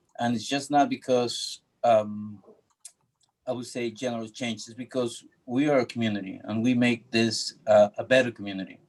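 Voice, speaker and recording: A Spanish accent at a moderate pace. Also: man. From Ecuador. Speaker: public commenter, local business owner. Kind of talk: public comment at community meeting. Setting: video call. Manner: halting.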